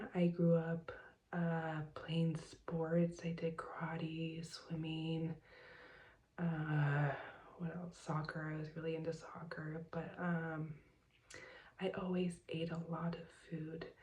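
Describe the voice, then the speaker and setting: Soft-spoken and somewhat breathy, a woman with a Californian accent and a dark, mellow tone speaks very slowly in monotone, flat intonation with long, frequent pauses. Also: fairly low pitch for a woman. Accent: Californian American English. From Southern California. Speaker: vlogger. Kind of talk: personal vlog. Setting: home at night. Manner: hesitant with fillers.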